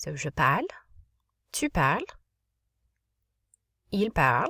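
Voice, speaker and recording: A woman's voice, dry and close with no echo, on a very clean recording with a silent background. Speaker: French teacher. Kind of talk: classroom lesson video. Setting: home closet, children audible in background. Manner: fast.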